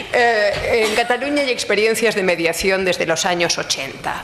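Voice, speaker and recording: A woman talks at a fairly slow pace with ordinary pitch variation. Noticeable background noise and audible room echo fill the recording. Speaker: law professor. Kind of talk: conference talk.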